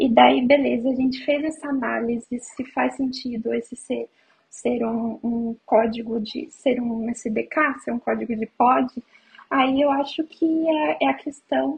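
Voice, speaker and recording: At a fairly slow pace, a woman talks at a high pitch. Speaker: iOS software engineer. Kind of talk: casual chat.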